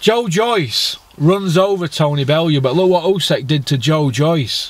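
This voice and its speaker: The voice is a man's. It sounds dry, without any echo. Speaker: boxing fan vlogger. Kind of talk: ranting commentary. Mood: angry, mocking rant. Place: car. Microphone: phone near.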